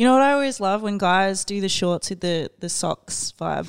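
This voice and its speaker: A woman with an Australian accent speaks at a fairly slow pace in a relaxed tone and medium pitch, with ordinary pitch variation, in a dry, close sound with no echo and a very clean recording with a silent background. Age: 30s. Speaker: DJ and radio host. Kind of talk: casual chat. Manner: laughs often, relaxed.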